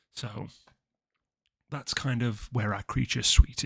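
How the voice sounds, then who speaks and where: At a moderate pace, a man speaks in a fairly low voice with vocal fry and ordinary pitch variation, recorded very cleanly with a silent background and a dry, close sound with no echo. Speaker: card game content creator. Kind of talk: deck tech tutorial. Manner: many fillers and false starts.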